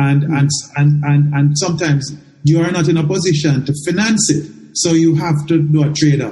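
A man talks at a fairly quick pace in a fairly high, somewhat breathy voice with a dark, mellow tone and fairly even intonation. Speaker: podcast host. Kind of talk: interview, sponsor read.

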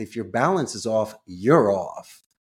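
On a very clean recording with a silent background, a man with a Philadelphia accent speaks with lively intonation. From Northeast Philadelphia. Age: 50s. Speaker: call center CEO. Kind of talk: casual interview.

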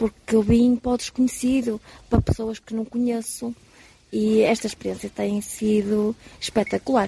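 Over noticeable background noise, a woman with a fairly high pitch speaks at a moderate pace in a flat monotone, the sound dry and close with no echo. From Portugal, Porto. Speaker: pilgrim. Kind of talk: live radio interview.

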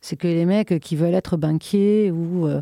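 In a very clean recording with a silent background, a woman speaks at a fairly slow pace with ordinary pitch variation, the sound dry and close with no echo. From southern France, Minervois near Carcassonne. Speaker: club night organizer. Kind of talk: casual interview.

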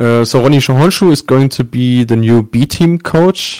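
Fairly slow speech in a German accent with ordinary pitch variation, on a very clean recording with a silent background. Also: man. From Germany. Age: 20s. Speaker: sports journalist. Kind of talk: interview.

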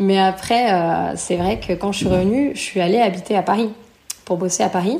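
At a moderate pace, a woman speaks in a medium pitch with ordinary pitch variation and very even loudness over noticeable background noise. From France, near Lyon. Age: 30s. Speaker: returned expat. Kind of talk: interview testimony.

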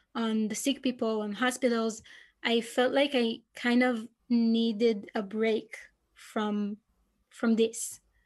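A woman speaks very slowly with an Israeli accent. Her fairly high voice stays monotone, with flat intonation. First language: Hebrew. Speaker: PhD researcher. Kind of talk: interview.

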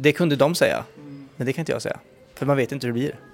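A man talks at a fairly high pitch. Behind him, music can be heard. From western Sweden, Uddevalla. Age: 30s. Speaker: TV presenter and YouTuber. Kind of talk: casual interview.

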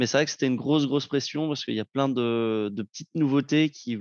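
A man in a normal speaking voice, fairly even intonation, moderate pace, dry, close sound with no echo, quiet background. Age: 20s. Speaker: broadcast equipment manager. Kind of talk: casual chat.

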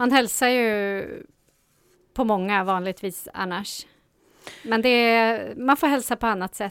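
An ordinary speaking voice: a woman at a fairly high pitch with ordinary pitch variation, talking at a fairly slow pace. The recording is very clean, with a silent background. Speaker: radio co-host and youth radio supervisor. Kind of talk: casual radio chat. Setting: radio studio.

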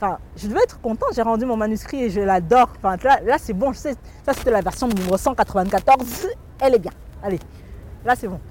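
Over noticeable background noise, a woman speaks with lively intonation. Her fairly high voice breaks into long, frequent pauses. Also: fairly quick pace. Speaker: author and humorist. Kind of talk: interview. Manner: halting, frequent repetitions. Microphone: crackling interference in recording.

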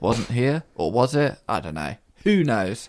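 Very wide pitch swings and vocal fry on a very clean recording with a silent background. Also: man, dry, close sound with no echo. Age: 30s. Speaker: actor and podcast co-host. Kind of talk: casual chat.

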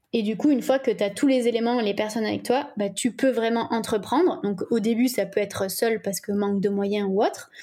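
A woman's dark, mellow tone at a fairly high pitch, ordinary pitch variation and a fairly quick pace. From French Alps (ski resort village). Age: 20s. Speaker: communication agency owner. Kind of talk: casual interview.

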